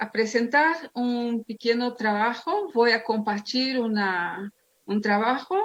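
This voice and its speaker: Speaking with a non-native accent, a woman talks at a very slow pace. Her pitch is fairly high, with ordinary variation. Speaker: theologian and pastor. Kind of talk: lecture.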